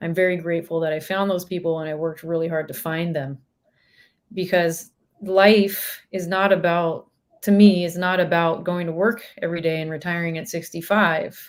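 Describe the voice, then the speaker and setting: A woman with a Northern California accent, fairly low pitch, monotone, flat intonation and a moderate pace. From Northern California, Sacramento. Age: 30s. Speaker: professional musician. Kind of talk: casual chat.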